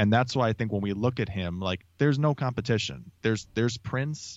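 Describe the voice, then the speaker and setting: A man talks fairly quickly in a fairly low voice with ordinary pitch variation, a plain, everyday voice. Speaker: podcast co-host. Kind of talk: casual chat.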